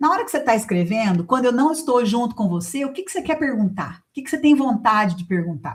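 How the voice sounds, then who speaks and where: A woman's high-pitched voice at a very fast pace, with hardly any pauses, very wide pitch swings and big swings in loudness. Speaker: writing teacher. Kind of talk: online class with sales pitch. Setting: online class. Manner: animated.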